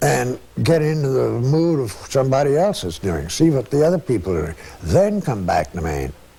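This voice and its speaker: Noticeable background noise sits behind a man speaking at a moderate pace, his medium pitch moving in very wide swings. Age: 70s. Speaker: painter. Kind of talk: interview. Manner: casual.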